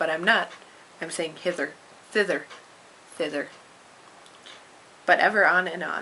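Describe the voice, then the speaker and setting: A woman speaks quietly at a fairly low pitch and moderate pace, with fairly even intonation. Long, frequent pauses and noticeable background noise run through the clip. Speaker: amateur storyteller reading to a friend. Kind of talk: reading aloud; casual chat.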